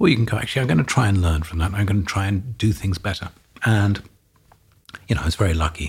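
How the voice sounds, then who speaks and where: Speaking with an English accent, a man goes at a very fast pace with long, frequent pauses, a fairly low pitch and ordinary pitch variation. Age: 50s. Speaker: real estate executive. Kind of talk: interview. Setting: studio.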